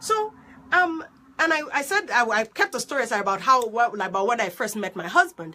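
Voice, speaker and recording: Through noticeable background noise, a woman speaks in an animated tone at a fairly quick pace, her pitch swinging very widely. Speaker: life coach. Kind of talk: live stream monologue. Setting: Facebook live video. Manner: animated, excitable.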